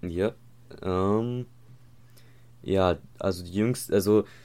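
A man's very deep, low voice is captured in a very clean recording against a silent background. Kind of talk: casual chat. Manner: hesitant, many filler words. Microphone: new microphone.

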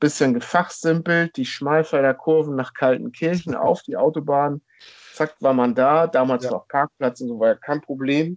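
Pitched fairly high, a man's voice moves along at a moderate pace. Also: ordinary pitch variation. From northern Germany, rural Schleswig-Holstein near Hamburg. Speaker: football fan, podcast guest. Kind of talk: casual chat. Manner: hesitant, many fillers.

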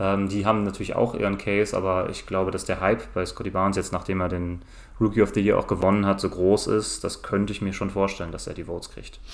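A man rattles along at a very fast pace in a monotone, flat intonation. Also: fairly low pitch for a man. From Germany, Cologne. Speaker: basketball podcast guest. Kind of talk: casual chat.

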